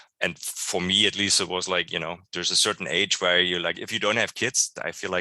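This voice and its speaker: Someone with a German accent speaks at a very fast pace in a bright, sharp tone and monotone, flat intonation, the sound dry and close with no echo. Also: man. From East Germany. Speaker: church member. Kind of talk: interview. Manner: halting.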